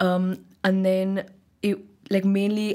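A woman talks at a medium pitch. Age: 20s. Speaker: university student, interview guest. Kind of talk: interview.

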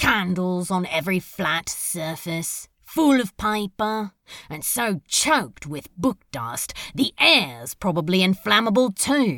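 In a put-on character voice that sounds female, the speaker talks at a middle pitch and a fairly slow pace on a very clean recording with a silent background. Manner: sulky, sarcastic, hurt.

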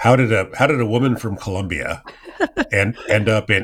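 With an American accent and an ordinary speaking voice, a man talks at a moderate pace with ordinary pitch variation. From US West Coast (Silicon Valley, California). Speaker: podcast host. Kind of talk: interview.

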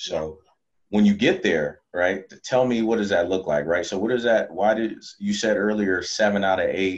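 The delivery moves at a moderate pace with ordinary pitch variation. It is an unremarkable speaking voice. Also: man, fairly low pitch for a man. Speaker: podcast host. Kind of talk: casual interview. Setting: video call.

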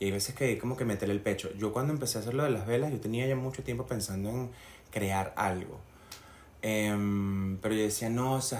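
A man talks at a moderate pace. His intonation is fairly even, and audible room echo is present. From Venezuela, Barinas. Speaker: candle maker. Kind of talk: casual chat.

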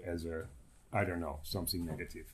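A man speaks with a Dutch accent in a somewhat breathy voice. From Netherlands. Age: 60s. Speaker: guest, historian. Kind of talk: casual interview chat.

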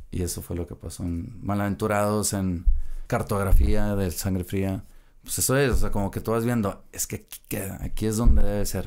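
An unremarkable speaking voice at a moderate pace, with ordinary pitch variation and big swings in loudness. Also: man, fairly low pitch for a man. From Mexico, Monterrey area. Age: 30s. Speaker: rock band bassist. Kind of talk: casual chat.

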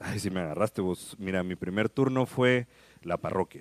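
A man with an unremarkable speaking voice talks at a fairly quick pace and fairly low pitch with ordinary pitch variation, on a very clean, dry, close recording with no echo and a silent background. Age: 30s. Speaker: radio host. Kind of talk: casual chat.

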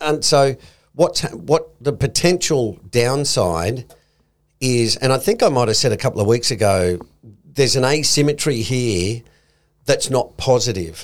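A man with an Australian accent, lively intonation and a fairly slow pace. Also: medium pitch for a man. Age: old. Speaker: investment podcast co-host. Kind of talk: casual chat.

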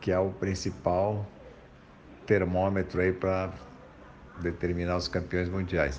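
The delivery is monotone and flat, moving at a fairly slow pace with long, frequent pauses. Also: man, very deep, low pitch for a man. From Brazil, São Paulo. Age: 50s. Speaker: former pro surfer, speaker. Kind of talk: personal testimony interview.

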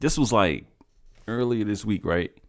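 A man speaks with ordinary pitch variation in a dark, mellow tone. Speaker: podcast host. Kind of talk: casual banter. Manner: joking, animated.

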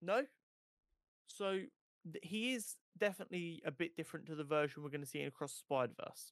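The delivery is very fast, with lively intonation. Long pauses come often. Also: man, high pitch for a man. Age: 20s. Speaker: podcast co-host. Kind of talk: casual chat.

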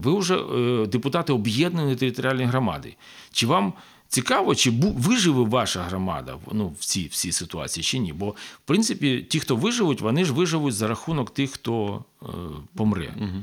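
A man with vocal fry and very wide pitch swings at a moderate pace. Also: medium pitch for a man. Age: 50s. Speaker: public broadcaster manager and former city councillor. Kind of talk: casual chat. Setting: studio.

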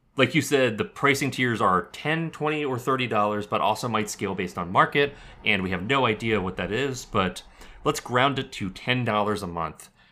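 A man with a plain, everyday voice speaks at medium pitch and a moderate pace, with lively intonation, in a very clean recording with a silent background. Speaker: podcast co-host. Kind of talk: casual conversational podcast chat.

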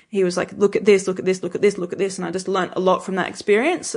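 A woman with an Australian accent speaks at a medium pitch in a flat monotone against a quiet background. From rural New South Wales, Albury (born in England). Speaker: winemaker. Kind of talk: casual interview chat.

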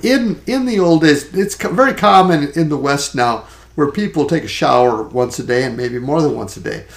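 This man talks at a fairly high pitch, his voice swinging very widely up and down. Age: 60s. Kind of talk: casual chat. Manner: halting.

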